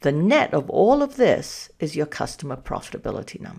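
A woman talks with a slight Danish accent and vocal fry. Her pitch swings very widely. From Denmark. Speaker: analytics consultant and podcast host. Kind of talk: solo podcast talk.

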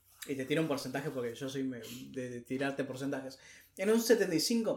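A man talks in a normal speaking voice with lively intonation. His pace is moderate. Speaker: podcast co-host. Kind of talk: casual chat.

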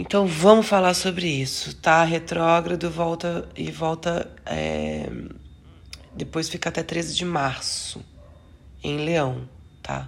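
Long pauses come often as a woman speaks very slowly. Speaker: astrology podcaster. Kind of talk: astrology forecast monologue. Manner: halting, self-correcting.

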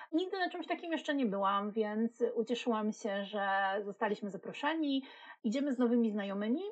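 Speaking in a plain, everyday voice, a woman with a fairly high pitch moves at a fairly quick pace with lively intonation. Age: 40s. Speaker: podcast co-host, marketing specialist. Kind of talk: casual chat.

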